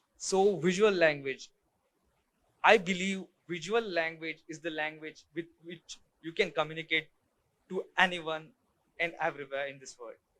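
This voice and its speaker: With an Indian accent, a man speaks at a high pitch and a moderate pace in a bright, sharp tone, his intonation fairly even, with long, frequent pauses and big swings in loudness. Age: young. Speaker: photographer. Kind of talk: talk to an audience. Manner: halting.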